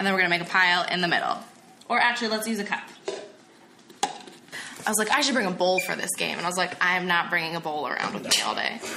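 A woman talking at a very fast pace, with audible room echo and noticeable background noise. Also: medium pitch for a woman, ordinary pitch variation. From New Jersey, Burlington County. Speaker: podcast co-host and game master. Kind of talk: explaining game rules.

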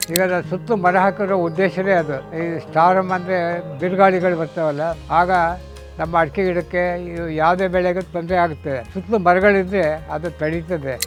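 Over music in the background, a man talks at a high pitch with monotone, flat intonation. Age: 80s+. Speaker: farmer. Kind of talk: interview answer. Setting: outdoors.

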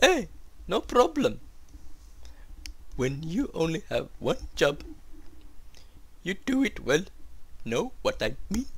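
A man uses a put-on character voice, pitched high. He speaks at a fairly slow pace with long, frequent pauses. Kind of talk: comic game dub. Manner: friendly, salesman's patter.

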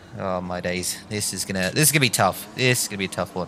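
A man is speaking. He has an Australian accent. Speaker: gaming YouTuber. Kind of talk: live gameplay commentary. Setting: home gaming setup. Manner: animated.

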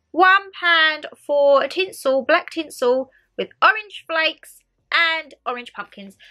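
A woman speaks in an extremely high, bright and sharp voice, raised and projected. Her pace is very slow, with lively intonation. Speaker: YouTuber. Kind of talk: haul video chat. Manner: chatty, rambling.

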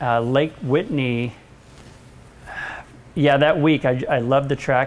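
At a fairly slow pace, a man speaks. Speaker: interview guest. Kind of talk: interview answer. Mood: relaxed, reminiscing. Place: office.

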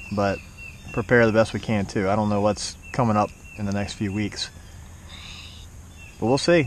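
A man's fairly low voice, dry with no echo, over light background noise. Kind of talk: casual vlog chat. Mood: calm, slightly uneasy. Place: forest. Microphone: camera far.

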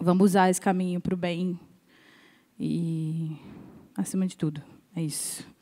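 A woman's fairly low, dark and mellow voice with a monotone, flat intonation, moderate pace and long, frequent pauses, on a very clean recording with a silent background. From Rio de Janeiro, Brazil. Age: 20s. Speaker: drummer. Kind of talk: panel discussion.

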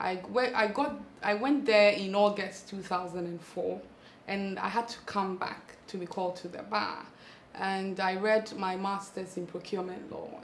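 With light background noise and audible room echo, a woman speaks at a fairly slow pace, her intonation fairly even but her loudness swinging widely. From Ghana. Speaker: lawyer and parliamentary candidate. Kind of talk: interview. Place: home room. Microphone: lapel.

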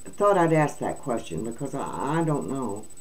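Vocal fry runs through a woman's speech at a fairly slow pace. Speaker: video channel host. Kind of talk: reading news aloud with commentary. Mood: indignant, opinionated. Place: home room. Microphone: webcam.

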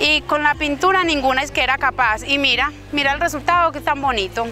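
A woman speaks in a raised, projected voice at a fairly quick pace with ordinary pitch variation. The sound is dry with no echo, and clear music plays in the background. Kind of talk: interview answer. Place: street.

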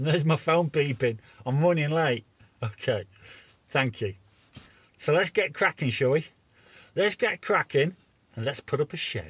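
A man talks at a moderate pace with long, frequent pauses. The sound is dry with no echo. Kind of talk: casual vlog chat. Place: car. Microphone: phone near.

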